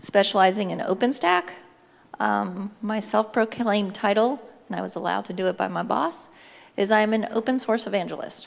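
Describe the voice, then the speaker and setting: A woman's medium-pitched voice with vocal fry, fairly even intonation and a moderate pace. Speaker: conference speaker. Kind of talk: conference talk.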